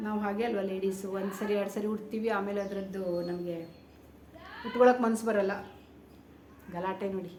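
A woman speaks at a medium pitch in a flat monotone, with audible room echo and noticeable background noise. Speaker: YouTube vlogger. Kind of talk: casual show-and-tell vlog. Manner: chatty, informal.

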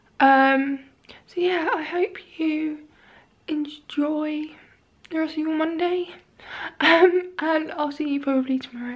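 Her pitch is high and her intonation fairly even. This woman speaks fairly slowly, with long, frequent pauses. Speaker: vlogger. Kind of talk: casual vlog chat. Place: home room. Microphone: phone near.

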